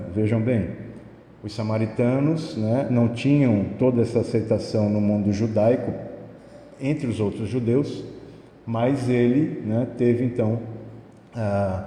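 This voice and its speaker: A man speaks very slowly in a medium pitch, somewhat breathy, with a dark, mellow tone and fairly even intonation. Long, frequent pauses break his speech amid audible room echo. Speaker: spiritist lecturer. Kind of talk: lecture. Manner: soft-spoken.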